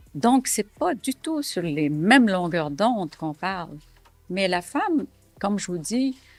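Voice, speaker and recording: A woman's pitch swings very widely. She talks at a very slow pace. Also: medium pitch for a woman. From Syria. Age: 70s. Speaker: entrepreneur and author. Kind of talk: documentary interview testimony. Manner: hesitant, many fillers.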